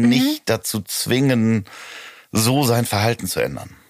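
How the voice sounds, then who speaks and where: This man's voice sits at a medium pitch. Fairly even intonation runs through it. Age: 40s. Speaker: podcast host and producer. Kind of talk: casual chat. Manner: hesitant, many fillers.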